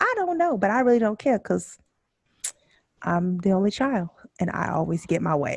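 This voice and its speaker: A woman talks at a fairly quick pace with medium pitch. The sound is dry and close, with no echo. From Houston, Texas. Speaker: podcast co-host. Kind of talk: casual chat.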